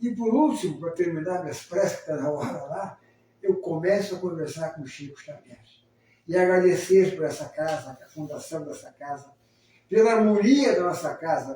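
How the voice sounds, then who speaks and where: A high-pitched man at a moderate pace, with lively intonation and big swings in loudness. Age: 70s. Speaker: spiritist program co-host, retired army officer. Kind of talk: casual talk show conversation. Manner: warm, halting with repetitions.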